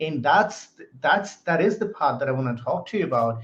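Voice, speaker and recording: A man's voice with lively intonation, in an American accent. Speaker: podcast host. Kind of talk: interview. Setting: live stream.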